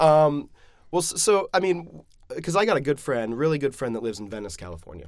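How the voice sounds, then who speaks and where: A man's fairly high voice at a fairly quick pace, with very wide pitch swings and big shifts in loudness. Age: 30s. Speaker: podcast host. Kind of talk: interview, casual chat.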